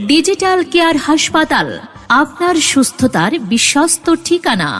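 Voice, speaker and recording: A woman speaks at an extremely high pitch with ordinary pitch variation. Music plays in the background. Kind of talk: public address advertisement read.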